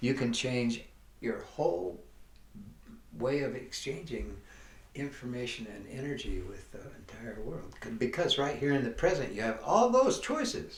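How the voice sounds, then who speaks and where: There are big swings in loudness and vocal fry as a man talks at medium pitch with lively intonation. Audible room echo is present. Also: moderate pace. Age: 80s+. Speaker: life coach / wellness teacher. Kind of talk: motivational talk. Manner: halting.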